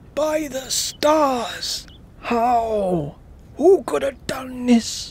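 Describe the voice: A high, put-on character voice at a very slow pace over light background noise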